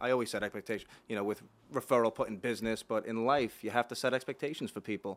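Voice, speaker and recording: A man talks at a very fast pace. His medium pitch follows fairly even intonation. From Long Island, New York. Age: 30s. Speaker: podcast host, mortgage lender. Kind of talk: casual chat.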